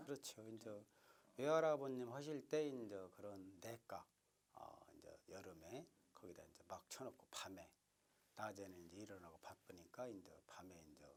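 This man has a normal speaking voice at a fairly low pitch, with lively intonation. He moves at a moderate pace, and his loudness swings widely. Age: 50s. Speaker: traditional puppet theatre preservation society head. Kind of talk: interview answer.

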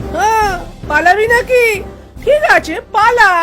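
An extremely high-pitched, cartoonish character voice comes over clear music in the background. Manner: bossy, sassy.

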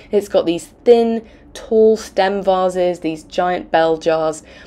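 A woman speaks with a croaky, slightly mellow tone at a fairly low pitch and ordinary pitch variation.

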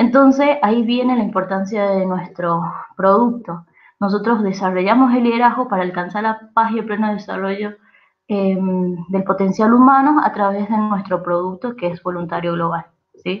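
A woman with an Argentine accent and a medium pitch talks at a moderate pace with ordinary pitch variation against a quiet background. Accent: Argentine Spanish (Rioplatense). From Argentina. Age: 20s. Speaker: youth organization presenter. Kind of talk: training presentation. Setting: recorded online session. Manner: hesitant with frequent fillers. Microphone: video call.

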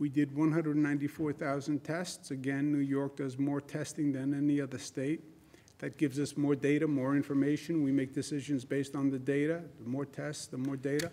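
Dark and mellow, a man's voice moves at a moderate pace. His intonation is monotone and flat. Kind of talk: press briefing. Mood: sober, measured. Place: hall.

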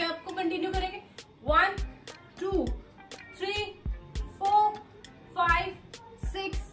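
Over clear background music and audible room echo, a woman speaks at an extremely high pitch and a fairly slow pace. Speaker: fitness instructor. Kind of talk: workout instruction and counting. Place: home room. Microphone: camera far.

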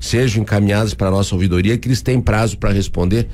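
The intonation here is lively. A man delivers it at a fairly low pitch. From Paraná, Brazil (União da Vitória); Paraná, Brazil. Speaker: mayor. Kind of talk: radio interview. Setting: radio studio. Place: studio. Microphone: studio mic.

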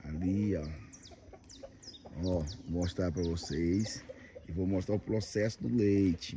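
Very deep and low, a man's voice moves at a very slow pace with long, frequent pauses and ordinary pitch variation, in a dry sound with no echo and noticeable background noise. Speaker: video blogger showing farm life. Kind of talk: casual talk to camera. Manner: upbeat. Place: farm machine. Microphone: phone near.

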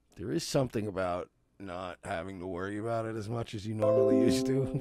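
A man is speaking in a dry sound with no echo. Faint music plays in the background. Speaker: streamer. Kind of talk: casual vlog chat. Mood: defensive, slightly amused. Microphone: headset.

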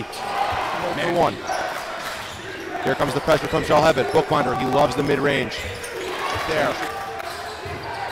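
A very slow delivery with a dry, echo-free sound under loud background noise. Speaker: play-by-play announcer. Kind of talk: live basketball play-by-play commentary. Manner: clipped, staccato play-by-play calls. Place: hall.

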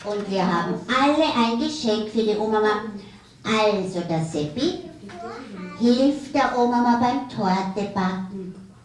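In a cartoonish character voice at a fairly high pitch, the speaker talks at a fairly slow pace with a slight echo. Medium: puppet.

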